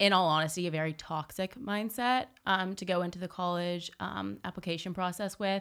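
Her voice is a plain, everyday voice, fairly low in pitch for a woman, with ordinary pitch variation. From Southern California (Newport Beach). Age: young. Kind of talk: casual interview chat.

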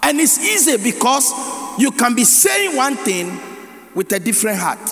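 A man with a Ghanaian accent speaks in a raised, projected voice at an extremely high pitch, with very wide pitch swings. Noticeable background noise is present. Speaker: pastor. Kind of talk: sermon. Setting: church. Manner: rapid run-on preaching, reading scripture then riffing without pause; call-and-response, repeatedly prompting the congregation to say amen.

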